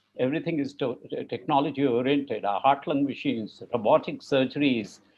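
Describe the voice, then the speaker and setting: A man with a normal speaking voice, fairly high in pitch, at a fairly quick pace with fairly even intonation. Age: 60s. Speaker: cardiac surgeon. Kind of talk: panel discussion.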